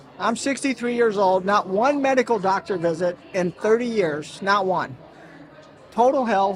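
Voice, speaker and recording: Noticeable background noise sits behind a man with a high pitch. He talks at a moderate pace. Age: 60s. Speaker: health company founder. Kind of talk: interview. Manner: animated.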